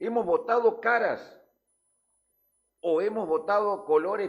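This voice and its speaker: A man speaks at a fairly slow pace in a high pitch. His tone is animated and his intonation lively. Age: 60s. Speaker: news show panelist. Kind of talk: heated debate. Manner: halting.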